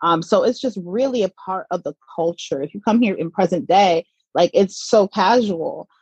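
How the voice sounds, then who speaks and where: A woman's ordinary speaking voice with an American accent, fairly slow and with ordinary pitch variation, in a dry, close sound with no echo. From US South, Atlanta, Georgia. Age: 30s. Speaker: cannabis content creator, mother, former journalist. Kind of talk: casual interview.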